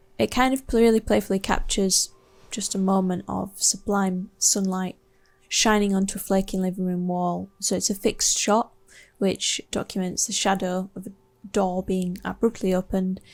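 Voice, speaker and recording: A woman speaks with a West Yorkshire accent and fairly even intonation. The recording is very clean, with a silent background. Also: medium pitch for a woman, moderate pace. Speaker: artist. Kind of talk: artist talk about own work. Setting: home studio. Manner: hesitant, many fillers.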